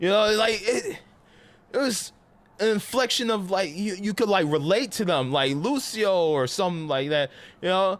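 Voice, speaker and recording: Captured in a very clean recording with a silent background, a man with a New York accent sounds animated and high-pitched. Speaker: gaming streamer. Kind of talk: casual live-stream chat.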